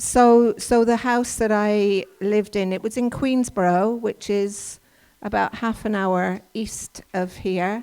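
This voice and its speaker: The voice has a dark, mellow tone and an English accent. It moves at a very slow pace with fairly even intonation. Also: woman. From England. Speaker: workshop presenter. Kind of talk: talk to a church audience. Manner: halting, many fillers.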